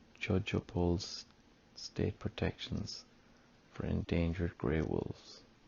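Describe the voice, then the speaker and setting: A soft-spoken man with an Irish accent and vocal fry, very deep and low in pitch with ordinary variation, at a very slow pace full of long, frequent pauses. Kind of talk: ASMR news reading.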